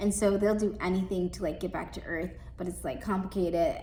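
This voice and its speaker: In a room with audible echo, a woman at a medium pitch talks at a fairly quick pace with ordinary pitch variation. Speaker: librarian. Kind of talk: book recommendations. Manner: fast; casual, filler-heavy.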